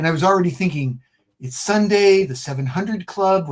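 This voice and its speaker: Animated and lively in intonation, a man speaks at a fairly quick pace. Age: 60s. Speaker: comic book creator. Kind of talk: casual interview chat.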